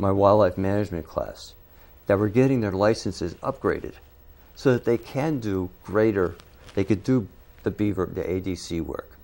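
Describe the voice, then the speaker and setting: A dark, mellow tone with ordinary pitch variation at a moderate pace. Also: man, fairly low pitch for a man. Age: 60s. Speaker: wildlife control operator. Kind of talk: interview.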